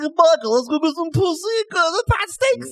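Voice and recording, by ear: A put-on character voice, extremely high in pitch, at a moderate pace.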